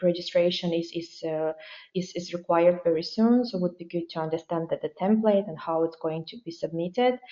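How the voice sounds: Speaking at a fairly quick pace with a Ukrainian accent, the voice has a dark, mellow tone. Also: woman.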